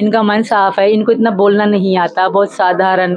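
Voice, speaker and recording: A woman's voice at a moderate pace with fairly even intonation, the sound dry with no echo. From Pakistan. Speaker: interviewee. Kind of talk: interview answer. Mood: earnest, at times emotional. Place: home room. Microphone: handheld.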